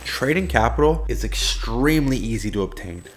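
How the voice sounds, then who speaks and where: A man's animated tone carries vocal fry. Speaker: forex trading youtuber. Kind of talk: casual direct-to-camera talk.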